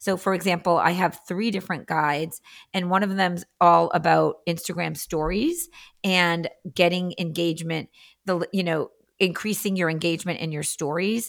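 With an American accent, a woman talks at a moderate pace and fairly even intonation in a very clean recording with a silent background. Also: fairly low pitch for a woman. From Massachusetts (Andover), US. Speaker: Instagram marketing coach. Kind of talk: casual interview chat.

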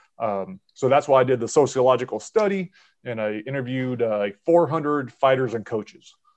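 Set against a quiet background, a plain, everyday voice moves with ordinary pitch variation. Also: man, medium pitch for a man, fairly quick pace. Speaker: podcast host. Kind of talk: casual chat.

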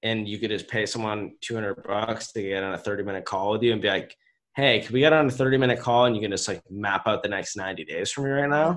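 The speech moves at a moderate pace. Its pitch variation is ordinary. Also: man. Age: 20s. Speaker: entrepreneur and business coach. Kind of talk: interview.

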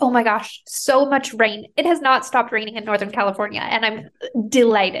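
A woman with a plain, everyday voice, fairly high in pitch, with ordinary pitch variation, a moderate pace, hardly any pauses, and a quiet background. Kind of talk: radio news reading, brisk headline delivery. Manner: polished, upbeat, clear and even-paced.

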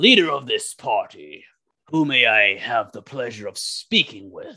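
The speaker uses a put-on character voice. The delivery is moderately paced. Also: man, fairly high pitch for a man. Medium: actual play. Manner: authoritative, courteous.

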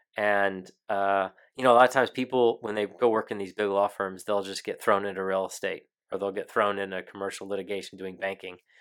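Here a man with an American accent speaks at a fairly quick pace. His intonation is monotone and flat. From Texas, San Antonio. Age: 30s. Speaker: military lawyer. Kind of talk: interview. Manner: halting.

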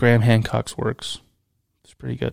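A man speaks at medium pitch and a fairly quick pace. He has a plain, everyday voice. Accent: American. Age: 30s. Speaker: podcast host. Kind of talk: casual chat. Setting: studio.

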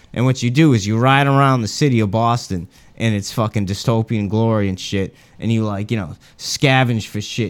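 A plain, everyday voice, fairly quick in pace, its pitch varying in an ordinary way. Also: man. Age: 30s. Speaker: podcast co-host. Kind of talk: casual chat.

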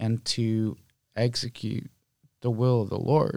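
Speaking in a flat monotone, a man with an American accent uses a medium pitch at a fairly slow pace. The recording is very clean, with a silent background. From Oakland, California. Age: 30s. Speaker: restaurant owner. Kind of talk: interview.

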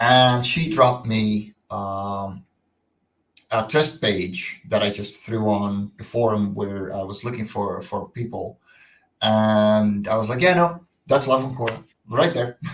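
In a Dutch accent, a man talks very slowly with a fairly low pitch and ordinary pitch variation. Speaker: comic book creator. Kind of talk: interview. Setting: video call.

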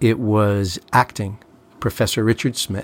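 Dry and close with no echo, the recording has a man speaking very slowly in a flat monotone at a fairly low pitch. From Long Island, New York. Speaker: lawyer. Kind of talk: casual chat.

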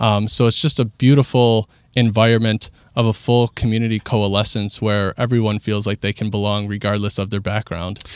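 A man's fairly low, flat monotone voice at a fairly quick pace, on a very clean recording with a silent background. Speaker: executive director of a community cafe. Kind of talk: casual interview. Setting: studio.

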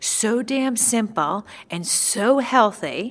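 There is ordinary pitch variation in this woman's speech, delivered with a New York accent. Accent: New York American. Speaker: nutritionist. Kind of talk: interview chat about nutrition.

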